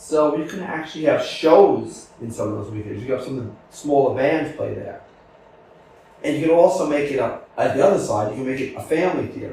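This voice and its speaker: A man's fairly high voice shows ordinary pitch variation against noticeable background noise. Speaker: podcast host. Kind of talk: casual interview. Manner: talkative, upbeat.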